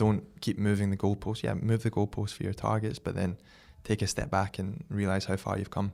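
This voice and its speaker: A man with a Scottish accent, fairly low-pitched with fairly even intonation and a fairly quick pace, in a very clean recording with a silent background. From Scotland, Glasgow. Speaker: brand founder and athlete. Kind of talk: podcast interview.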